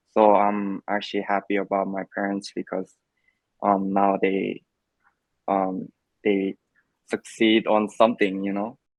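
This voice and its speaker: A man with a Korean accent speaks with a fairly low pitch at a fairly slow pace. His intonation is monotone and flat, broken by long, frequent pauses. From South Korea. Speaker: immigrant interviewee. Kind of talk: interview. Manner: hesitant, many fillers.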